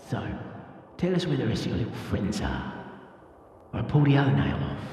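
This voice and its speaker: In a husky, put-on character voice with very wide pitch swings, the speaker goes at a fairly quick pace amid strong echo. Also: man, fairly low pitch for a man. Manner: menacing.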